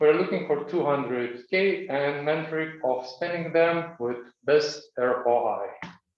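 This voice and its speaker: There is audible room echo around a man speaking at a fairly slow pace. His pitch is fairly high and varies in an ordinary way. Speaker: startup founder pitching. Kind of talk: pitch presentation. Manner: clear.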